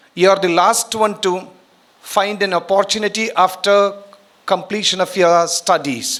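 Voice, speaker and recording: At a fairly slow pace, a man speaks with a high pitch. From India, Karnataka (Udupi). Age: 60s. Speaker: retired educator, guest speaker. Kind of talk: speech to students at college event.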